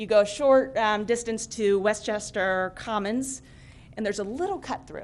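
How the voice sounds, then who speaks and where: The woman's voice is pitched fairly high. She keeps to a moderate pace. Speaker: trail planner speaking at public comment. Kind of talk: public comment at a township meeting. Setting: township board meeting room with microphone. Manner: casual, with many fillers.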